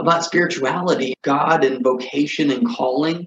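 In a normal speaking voice, a man talks at a moderate pace, his pitch varying in an ordinary way. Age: 30s. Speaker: video podcast host. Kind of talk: solo personal monologue.

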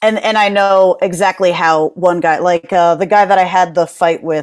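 With an American accent, a woman talks at a fairly slow pace using fairly even intonation. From Connecticut, US. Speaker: actress and martial artist. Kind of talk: casual chat.

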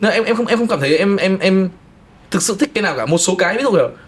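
Over noticeable background noise, a man talks at a very fast pace. His pitch is high, with ordinary variation. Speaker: film and music video director. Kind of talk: casual chat.

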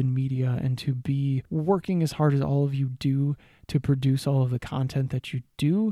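On a very clean recording with a silent background and a dry, close sound with no echo, a man with a fairly high pitch speaks in a dark, mellow, somewhat breathy tone. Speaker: podcast host. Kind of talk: solo monologue tips. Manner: animated.

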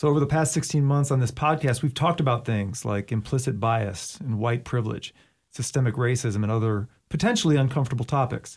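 At a fairly quick pace, a man with a medium-pitched, somewhat breathy voice speaks with ordinary pitch variation and very even loudness on a very clean recording with a silent background. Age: 40s. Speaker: podcast host, school district video producer. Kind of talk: casual interview chat.

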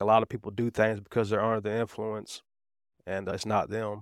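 A man's voice with a Southern US accent, dry and close with no echo, on a very clean recording with a silent background. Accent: Southern US (Georgia). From Atlanta area, Georgia, US South. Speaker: recovering addict sharing testimony. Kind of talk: testimony.

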